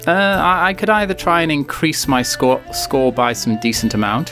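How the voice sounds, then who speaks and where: Over music in the background, a man with a British accent speaks with very wide pitch swings. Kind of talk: video game commentary. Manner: casual, humorous.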